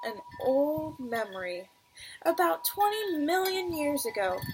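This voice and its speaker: With music in the background, a woman speaks at a high pitch with very wide pitch swings. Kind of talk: read-aloud children's story.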